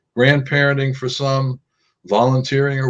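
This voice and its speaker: A man talks in a somewhat breathy voice. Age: 70s. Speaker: professor. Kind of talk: lecture. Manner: halting, many fillers.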